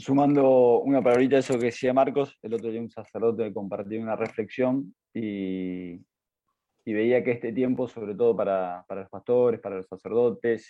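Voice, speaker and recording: A man with an ordinary speaking voice talks at a fairly slow pace, with medium pitch and fairly even intonation. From Argentina, Entre Ríos (Concordia). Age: 30s. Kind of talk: interview.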